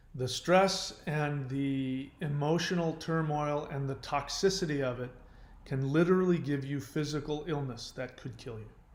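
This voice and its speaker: Recorded with audible room echo, a man speaks at a fairly high pitch with big swings in loudness. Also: ordinary pitch variation, moderate pace. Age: 50s. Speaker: YouTuber on relationship recovery. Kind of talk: casual monologue.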